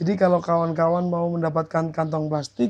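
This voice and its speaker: With a high pitch, a man talks in monotone, flat intonation. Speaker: video blogger. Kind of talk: vlog commentary. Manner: hesitant with fillers.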